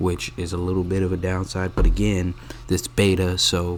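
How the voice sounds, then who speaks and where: The speaker's intonation is monotone and flat at a moderate pace, with noticeable background noise behind it. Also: man. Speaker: gaming youtuber. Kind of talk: game commentary. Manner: sleepy, low-energy.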